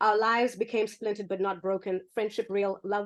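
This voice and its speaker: A woman with a Zimbabwean accent, medium pitch, fairly even intonation, and a moderate pace. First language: Shona. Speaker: poet. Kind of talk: poetry reading; casual chat.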